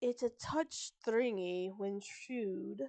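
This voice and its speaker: A woman's put-on character voice at medium pitch, delivered at a very slow pace. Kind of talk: posh.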